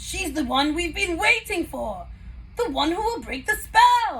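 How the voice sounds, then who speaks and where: A put-on character voice moves at a fairly slow pace over light background noise. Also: woman, extremely high pitch for a woman. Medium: read story. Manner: eager.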